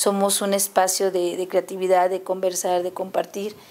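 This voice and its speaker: A woman speaks at a medium pitch and a moderate pace. Her intonation is monotone and flat. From Guerrero, Mexico (Chilpancingo); Guerrero, Mexico. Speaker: museum staff and visual artist; guest. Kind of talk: studio interview. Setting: studio. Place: studio. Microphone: lapel.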